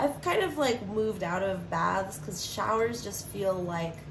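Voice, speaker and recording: A woman's voice comes at a medium pace. The room echoes audibly, and background noise is noticeable. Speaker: tarot reader. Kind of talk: tarot reading. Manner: casual, rambling with fillers.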